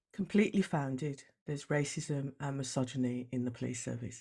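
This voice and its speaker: The speaker has a Brummie accent. The pace is fairly quick. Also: woman. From Birmingham, West Midlands. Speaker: diversity coach and former police officer. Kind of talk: interview.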